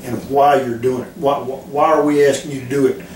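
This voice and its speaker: Noticeable background noise and audible room echo fill the recording. Through them, a man talks fairly quickly. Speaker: football defensive coordinator. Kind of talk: interview. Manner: calm; halting, many repetitions.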